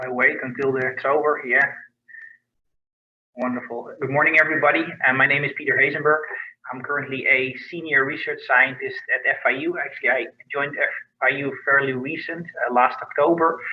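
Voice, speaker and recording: A man speaks at a fairly quick pace with a Dutch accent. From Netherlands. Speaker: research scientist. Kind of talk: research profile presentation.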